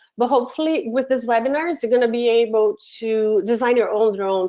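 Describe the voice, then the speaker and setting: Her voice has a dark, mellow tone and a fairly high pitch, with ordinary pitch variation. This woman talks at a moderate pace against a quiet background. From Brazil. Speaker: education program manager, webinar presenter; webinar presenter. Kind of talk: webinar tutorial. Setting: online webinar from home office. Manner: hesitant with many fillers. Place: home room.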